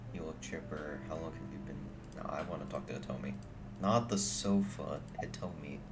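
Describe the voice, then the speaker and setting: Over noticeable background noise and audible room echo, a man with a very deep, low voice swings his pitch very widely. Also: moderate pace. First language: not English. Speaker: streamer playing a video game. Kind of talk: casual gameplay commentary. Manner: casual, filler-heavy.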